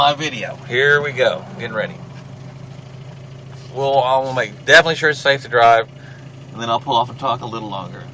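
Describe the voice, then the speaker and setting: Over noticeable background noise, a man speaks fairly quickly at a medium pitch with fairly even intonation and big swings in loudness. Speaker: paranormal video blogger. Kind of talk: casual vlog, partly reading aloud. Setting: in a car. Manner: halting.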